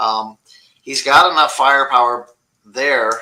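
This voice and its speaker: This man talks at a fairly slow pace, his bright, sharp tone held to fairly even intonation. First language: not English. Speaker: fantasy football podcast co-host. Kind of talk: casual chat.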